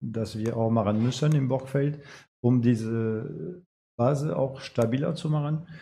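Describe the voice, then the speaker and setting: In a French accent, a man speaks at a very slow pace in a medium pitch, somewhat breathy, with a dark, mellow tone and ordinary pitch variation. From France. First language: French (speaking German). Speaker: amateur football coach. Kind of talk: casual interview.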